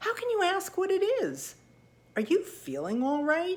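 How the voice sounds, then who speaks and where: Using a squeaky, put-on character voice at an extremely high pitch, a woman talks at a moderate pace. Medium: read story.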